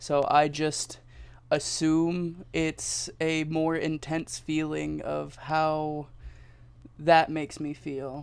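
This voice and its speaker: Fairly high-pitched man in a monotone, flat delivery, on a very clean recording with a silent background. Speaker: interviewee. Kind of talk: casual interview. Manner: halting, with fillers.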